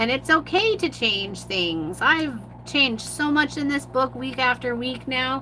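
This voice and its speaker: Fairly slow female speech against noticeable background noise. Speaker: mixed media artist. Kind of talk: live art tutorial. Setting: livestream.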